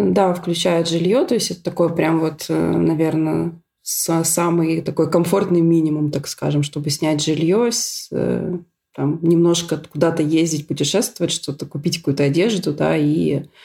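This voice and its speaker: A woman's very deep, low voice at a fairly slow pace. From Russia, Syktyvkar (Komi Republic). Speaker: scientist, emigrant. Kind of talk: casual interview.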